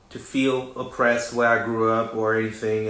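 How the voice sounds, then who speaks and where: The recording of a man's voice carries audible room echo. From West Africa. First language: French. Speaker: recording artist and designer hosting a livestream. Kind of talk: live social media talk. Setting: livestream.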